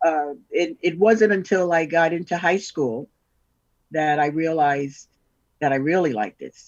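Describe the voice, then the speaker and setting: In a New York accent, a woman talks at a fairly slow pace. Her pitch is fairly low, with ordinary variation. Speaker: double bass player. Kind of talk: interview.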